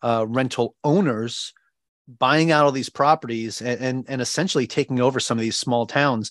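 A man with a New York accent speaks at a medium pitch with fairly even intonation. The sound is dry and close with no echo, over a quiet background. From Long Island, New York. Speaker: Navy veteran, real estate investor and financial coach. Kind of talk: interview.

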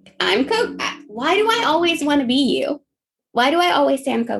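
A woman talks in a squeaky voice with an animated tone. Her pace is moderate. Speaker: podcast co-host. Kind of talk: casual chat.

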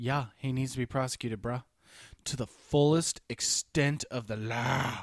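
The voice is a plain, everyday voice with fairly even intonation and a dry, close sound with no echo. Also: man, medium pitch for a man, fairly slow pace. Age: 30s. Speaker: podcast co-host. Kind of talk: casual chat.

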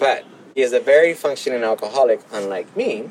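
A man with a Southern California accent, noticeable background noise around him. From Los Angeles, South Bay (Gardena). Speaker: formerly homeless person in recovery. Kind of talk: personal testimony interview.

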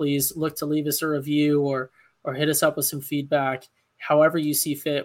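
This is a man with a fairly high pitch. He has an unremarkable speaking voice. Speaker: podcast co-host. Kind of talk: casual sports podcast banter. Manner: joking, sarcastic.

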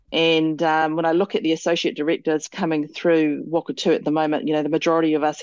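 Speech comes very fast with hardly any pauses, in a New Zealand accent, over a quiet background. Loudness stays very even, and the pitch varies in an ordinary way. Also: woman. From New Zealand (Māori, Tauranga and Motueka). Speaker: company director and general manager. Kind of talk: interview. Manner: hesitant fillers.

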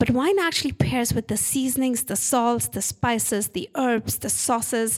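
A woman speaks at a moderate pace in an Indian accent, her pitch fairly high. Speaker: winery owner. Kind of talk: casual interview. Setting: in a wine tasting room. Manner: hesitant, with filler words.

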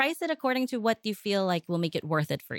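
The recording is very clean, with a silent background and a dry, close sound with no echo. A woman speaks at a very fast pace in an American accent, her pitch medium. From United States. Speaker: home baker and business owner. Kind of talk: interview.

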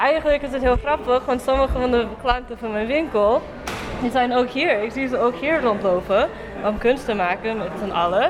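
With a non-native accent, a woman speaks at a high pitch and a moderate pace, with ordinary pitch variation and noticeable background noise. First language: not Dutch (speaking Dutch). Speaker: social entrepreneur and summer school student. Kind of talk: interview.

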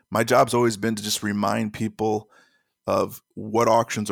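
With a dry, close sound, no echo and a silent background on a very clean recording, a man with a fairly low voice speaks at a moderate pace. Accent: American. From Chicago. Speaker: auction news website founder. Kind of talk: interview. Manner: halting.

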